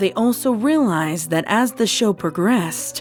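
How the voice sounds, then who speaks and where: Lively intonation marks a woman's speech at a moderate pace. Music plays behind her. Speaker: voice actor, horror story narrator. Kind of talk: creepypasta reading, horror story narration.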